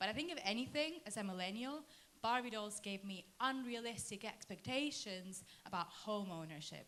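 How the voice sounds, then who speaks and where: With a British accent, a woman speaks at a moderate pace in a fairly high voice, her intonation lively, and the room echo is audible. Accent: British-sounding English. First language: Spanish. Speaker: comedian. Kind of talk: stand-up. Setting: stage with audience.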